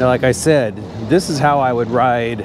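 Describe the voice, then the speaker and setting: The speech moves at a moderate pace while noticeable background noise is heard. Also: man. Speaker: e-bike reviewer. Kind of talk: casual vlog while riding. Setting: outdoors on a bike. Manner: loud.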